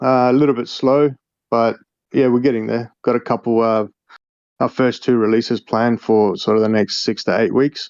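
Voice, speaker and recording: With an Australian accent, a man talks at medium pitch. His pace is moderate and the background quiet. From Australia, Melbourne. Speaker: crypto game developer. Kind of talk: casual interview.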